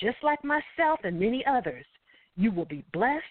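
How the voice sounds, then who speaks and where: Her pitch is fairly high and swings very widely as the woman talks at a fairly slow pace. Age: 50s. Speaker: talk radio host. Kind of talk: solo commentary monologue. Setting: internet radio show. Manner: animated.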